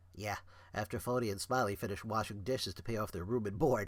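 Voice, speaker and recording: A man rattles along at a very fast pace in a put-on character voice. The pitch is fairly low. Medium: read story.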